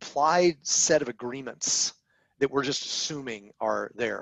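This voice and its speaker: A plain, everyday voice with ordinary pitch variation comes through with a dry, close sound and no echo. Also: man. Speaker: podcast co-host. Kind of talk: casual discussion.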